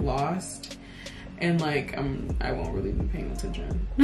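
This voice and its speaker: A woman speaks at a fairly low pitch. Music plays in the background. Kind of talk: casual conversation.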